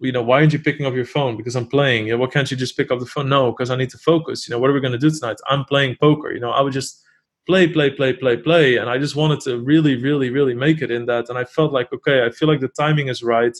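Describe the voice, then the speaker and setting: With a Dutch accent, a man talks at a very fast pace in a medium pitch with fairly even intonation. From Netherlands. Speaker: poker player and streamer. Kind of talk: interview.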